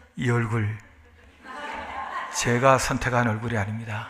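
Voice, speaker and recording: In a room with audible echo, a man speaks at a fairly slow pace, his medium pitch held in monotone, flat intonation. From South Korea. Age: 60s. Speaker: pastor. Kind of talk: sermon.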